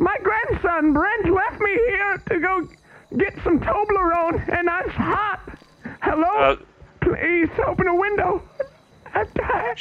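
A man puts on a character voice, whiny and extremely high-pitched. He speaks at a fairly slow pace. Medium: game stream. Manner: pleading, whiny.

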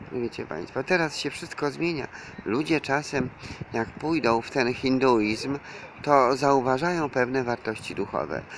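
Over light background noise, a man talks at a fairly slow pace with ordinary pitch variation, and the sound is dry with no echo. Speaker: self-styled preacher vlogger. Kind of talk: religious monologue to viewers. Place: street. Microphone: phone near.

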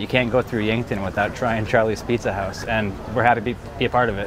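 Very fast speech over background music, with a dry sound and no echo. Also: man. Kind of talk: interview answer. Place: street. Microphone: lapel.

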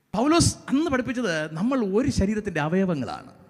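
Against noticeable background noise, a man speaks at a high pitch with very wide pitch swings. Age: 40s. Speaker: pastor. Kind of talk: sermon.

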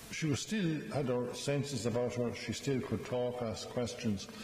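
A man talks with audible echo from the room and a little noise behind him. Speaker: priest. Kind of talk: funeral homily. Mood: gentle, solemn, warm. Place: church. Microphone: podium.

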